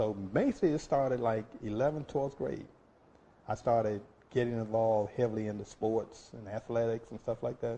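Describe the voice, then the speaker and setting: At a moderate pace, a man with a medium pitch and ordinary pitch variation speaks in a somewhat breathy voice with a dark, mellow tone. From Florida. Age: 60s. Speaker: oral history interviewee. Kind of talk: oral history interview. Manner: halting, many fillers.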